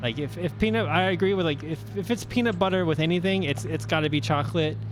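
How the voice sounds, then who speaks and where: Noticeable background noise and audible room echo fill the recording. A man talks very fast. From United States. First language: Portuguese. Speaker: sim racing commentator. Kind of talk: live commentary chat.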